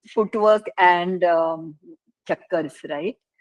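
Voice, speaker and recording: A woman speaks at a very slow pace in a dry, close sound with no echo. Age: 70s. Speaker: classical dancer and dance teacher. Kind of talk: interview.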